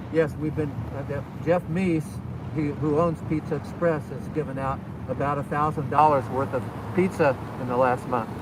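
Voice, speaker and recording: A man speaks at a moderate pace with a fairly high pitch and ordinary pitch variation, pausing long and often. Noticeable background noise and audible room echo fill the recording. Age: 70s. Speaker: war veteran and volunteer. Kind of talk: interview.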